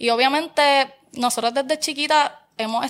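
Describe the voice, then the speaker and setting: In a very clean recording with a silent background, a woman with a Puerto Rican accent speaks in a bright, sharp tone. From Puerto Rico, Barranquitas. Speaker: social media content creator. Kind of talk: casual chat.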